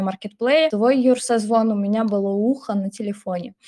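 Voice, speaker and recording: A woman speaks in a plain, everyday voice at a fairly high pitch. Her pace is fairly quick and her intonation fairly even. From Russia, Samara region. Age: 20s. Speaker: former teacher, online school technical specialist. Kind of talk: casual chat.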